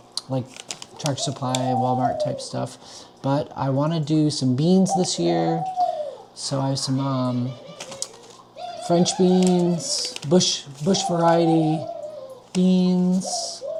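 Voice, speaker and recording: Speech comes at a very slow pace with long, frequent pauses. Background noise is noticeable. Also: man. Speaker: homesteader. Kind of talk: casual vlog tutorial. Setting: at home, parlor. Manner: casual, many fillers.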